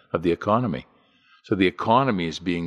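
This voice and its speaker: With a Canadian accent and a normal speaking voice, a man talks at a fairly quick pace in a dry, close sound with no echo and a quiet background. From Canada. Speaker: podcast host. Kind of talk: scripted narration; casual chat.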